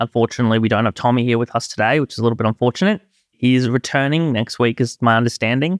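A man with an Australian accent speaks at a very fast pace in a medium pitch, with ordinary pitch variation. The recording is very clean and silent in the background, with a dry, close sound and no echo. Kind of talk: casual chat.

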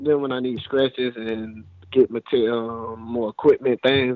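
At a moderate pace, a plain, everyday voice with an American accent speaks with ordinary pitch variation. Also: man. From Florida, Fort Lauderdale. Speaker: former college football player. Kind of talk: casual interview. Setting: phone call.

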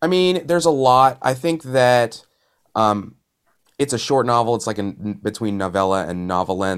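At a moderate pace, an unremarkable speaking voice comes through with lively intonation. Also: man, medium pitch for a man. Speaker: audio drama creator and producer. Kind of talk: casual chat. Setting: video call.

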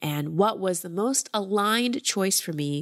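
A woman with a plain, everyday voice and medium pitch speaks at a fairly slow pace with lively intonation, recorded very cleanly against a silent background with a dry, close sound and no echo. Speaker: life coach and podcast host. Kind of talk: coaching call with ad read and intro.

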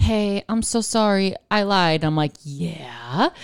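A woman with an American accent and a plain, everyday voice speaks at a medium pitch with lively intonation. The recording is very clean with a silent background and a dry, close sound with no echo. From Buffalo, New York. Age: 30s. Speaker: comedian. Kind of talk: casual chat.

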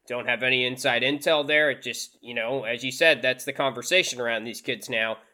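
At a fairly quick pace with hardly any pauses, a man speaks at a medium pitch in a bright, sharp tone, his pitch varying in an ordinary way. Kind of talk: casual chat. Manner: relaxed.

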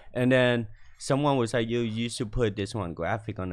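A man is speaking. He has a Vietnamese accent. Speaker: fashion designer. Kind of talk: casual chat. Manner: confident.

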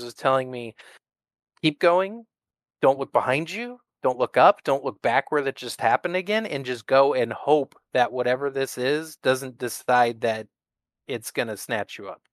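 A man with fairly high pitch and a plain, everyday voice speaks at a moderate pace with an American accent, ordinary pitch variation and big swings in loudness, on a very clean recording with a silent background and a dry, close sound with no echo. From US Northwest. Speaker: army combat veteran. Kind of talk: storytelling interview.

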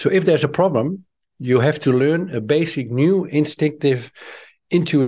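A man's pitch varies in an ordinary way as he talks at a moderate pace, with a quiet background behind him. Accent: Dutch. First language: Dutch. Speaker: author and trainer. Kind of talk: interview.

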